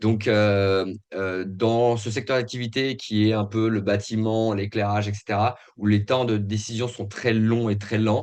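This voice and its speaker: Against a quiet background, a man speaks fairly slowly at a fairly low pitch, his intonation monotone and flat. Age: 40s. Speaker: company founder. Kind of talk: interview. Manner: halting, many hesitations.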